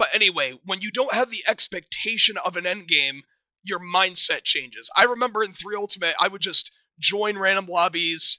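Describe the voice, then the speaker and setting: This man has a high pitch and a bright, sharp tone, using a raised, projected voice in a dry, close recording with no echo. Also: ordinary pitch variation, moderate pace. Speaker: gaming video creator. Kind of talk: commentary video essay.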